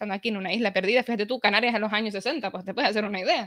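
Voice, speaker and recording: Very fast speech over a quiet background. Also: woman. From Canary Islands, Tenerife; Canary Islands. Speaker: history blogger; guest, history blogger. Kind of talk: casual chat. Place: home room. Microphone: video call.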